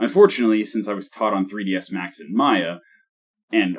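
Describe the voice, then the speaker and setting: Speed defines this man's delivery. He talks at a very fast pace. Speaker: solo game developer. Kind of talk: dev log narration. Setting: one-take recording.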